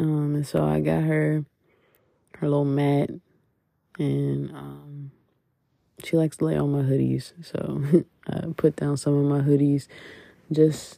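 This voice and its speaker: Long, frequent pauses break up the speech in a very clean recording with a silent background. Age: 20s. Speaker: podcast host. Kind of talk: personal monologue. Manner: casual, with frequent laughs and fillers.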